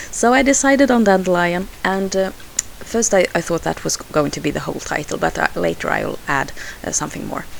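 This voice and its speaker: A woman speaks at a fairly quick pace with a Swedish accent. Noticeable background noise runs under her voice. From Sweden. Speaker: scrapbooking crafter. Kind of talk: tutorial voice-over. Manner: halting, many fillers.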